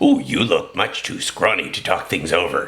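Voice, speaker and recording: A man puts on a raspy character voice. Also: moderate pace. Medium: read story.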